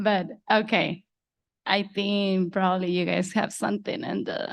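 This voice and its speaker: Against a quiet background, a woman with a Spanish accent speaks at a fairly slow pace, her medium-pitched voice holding a fairly even intonation. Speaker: student speaker. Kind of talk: commencement speech.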